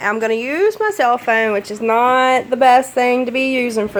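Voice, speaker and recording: A woman's fairly high voice at a moderate pace with fairly even intonation, amid noticeable background noise. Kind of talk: casual cooking tutorial to camera.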